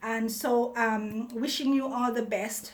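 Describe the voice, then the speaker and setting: A woman speaks at a very slow pace in a fairly high, flat, monotone voice. Audible room echo surrounds her. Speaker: vlogger. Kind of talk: casual monologue to viewers. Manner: halting, many repetitions and fillers.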